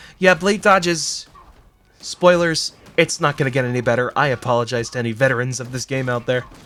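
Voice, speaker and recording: Over noticeable background noise, a man speaks fairly quickly at a medium pitch with ordinary pitch variation. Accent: American. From Massachusetts. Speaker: gaming commentator. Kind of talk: let's play commentary. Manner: casual, with filler words.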